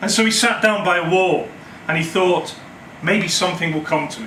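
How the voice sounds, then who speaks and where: Amid noticeable background noise, a man with a high voice speaks at a moderate pace, his pitch varying in an ordinary way. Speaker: storyteller. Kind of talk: live storytelling performance. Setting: live audience in a cafe. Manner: humorous, conversational.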